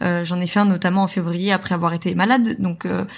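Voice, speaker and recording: The recording is very clean with a silent background, carrying a woman's medium-pitched voice and fairly even intonation. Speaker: entrepreneur and podcaster. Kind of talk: testimony. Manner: fast talker.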